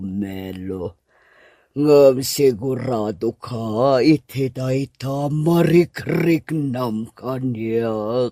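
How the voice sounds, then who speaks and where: A man puts on a character voice of medium pitch. He talks very slowly in a very clean recording with a silent background. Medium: audio drama. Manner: coy, teasing, giggly.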